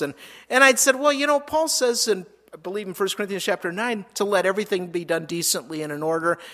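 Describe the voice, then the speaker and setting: A man with an American accent, fairly quick pace and lively intonation, on a very clean recording with a silent background. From Minnesota. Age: 50s. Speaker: pastor. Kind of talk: sermon. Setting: church.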